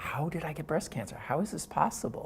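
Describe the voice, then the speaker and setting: The pace is moderate as a man talks. There is a somewhat breathy quality to his voice. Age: 60s. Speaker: cancer patient and advocate. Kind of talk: personal testimony.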